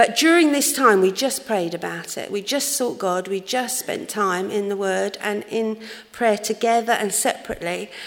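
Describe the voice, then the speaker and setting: Over noticeable background noise, a woman speaks at a fairly high pitch with ordinary pitch variation. She hardly pauses at all. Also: moderate pace. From London, England. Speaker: church youth leader. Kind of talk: testimony. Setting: church.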